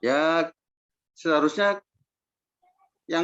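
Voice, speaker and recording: A man's high-pitched voice comes across dry and close with no echo. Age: 50s. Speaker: farmer. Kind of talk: interview.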